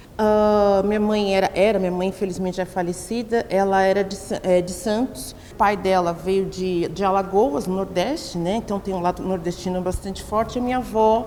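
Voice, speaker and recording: A woman with hardly any pauses, fairly even intonation and noticeable background noise. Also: medium pitch for a woman, moderate pace. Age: 40s. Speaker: professor and researcher. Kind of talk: documentary interview. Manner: halting, self-correcting.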